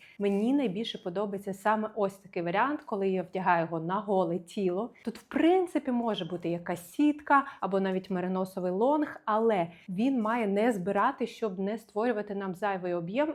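A woman with a plain, everyday voice speaks at medium pitch and a moderate pace, with ordinary pitch variation and hardly any pauses. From Ukraine, Kyiv. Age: 30s. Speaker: fashion stylist and video blogger. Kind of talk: casual try-on haul video.

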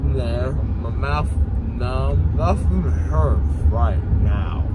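A man talks very slowly as loud background noise fills the recording. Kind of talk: casual vlog chat. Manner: numb-mouthed, slurred post-anesthesia speech. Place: car. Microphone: phone near.

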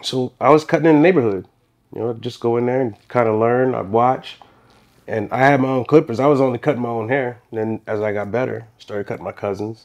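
A man talking at a very fast pace, medium in pitch, with ordinary pitch variation. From New Orleans. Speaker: barber and shop owner. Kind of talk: casual interview.

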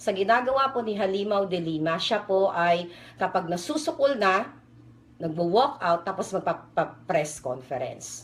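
With very wide pitch swings, a woman talks at a moderate pace and medium pitch. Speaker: political video blogger. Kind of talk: political commentary vlog.

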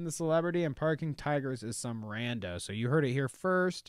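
A man's voice with ordinary pitch variation, a quiet background and a dry sound with no echo. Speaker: podcast host. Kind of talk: comedic podcast chat. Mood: joking, sarcastic. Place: home room. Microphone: studio mic.

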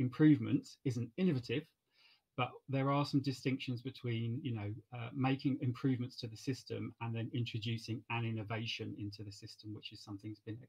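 A man talks rather quickly, his voice somewhat breathy. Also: fairly even intonation, quiet background. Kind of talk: event moderation introduction. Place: home room. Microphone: webcam.

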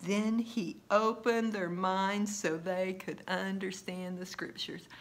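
Slow and medium-pitched, a woman is speaking. Her intonation is fairly even.

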